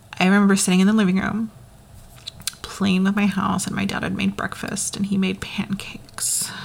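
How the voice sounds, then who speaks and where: Noticeable background noise runs through the clip. A woman talks at a moderate pace. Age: 30s. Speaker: podcast host. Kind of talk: personal monologue. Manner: hesitant, many fillers.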